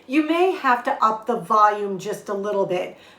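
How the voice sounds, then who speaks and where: A woman speaks at a fairly slow pace with a warm tone and lively intonation, and audible echo fills the room. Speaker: lifestyle vlogger. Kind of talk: cooking tutorial. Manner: loud; warm, friendly.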